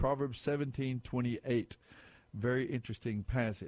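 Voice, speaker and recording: Against a quiet background, a man speaks in a normal speaking voice at medium pitch and a fairly slow pace, the sound dry and close with no echo. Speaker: radio quiz show host. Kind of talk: call-in Bible quiz show. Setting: studio. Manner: warm, conversational.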